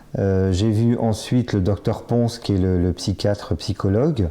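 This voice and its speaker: Against a quiet background, a man speaks fairly slowly in a fairly low voice with a dark, mellow tone. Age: 50s. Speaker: bariatric surgery patient. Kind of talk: testimony. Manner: halting, many fillers and repetitions.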